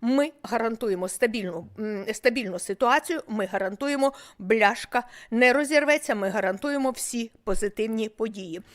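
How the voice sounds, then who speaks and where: A normal speaking voice from a woman, fairly high in pitch with ordinary variation, comes at a moderate pace on a very clean recording with a silent background. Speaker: medical professor. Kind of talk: medical lecture.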